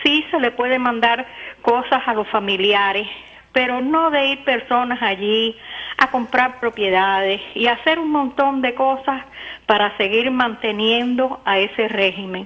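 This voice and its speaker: A woman with a high pitch talks at a very slow pace. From United States. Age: 60s. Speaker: caller. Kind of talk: call-in comment.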